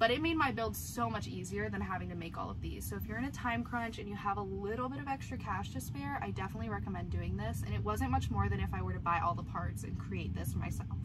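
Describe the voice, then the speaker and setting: Talking at a very fast pace with hardly any pauses, the speaker is heard over loud background noise. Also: woman. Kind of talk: casual vlog chat. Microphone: camera far.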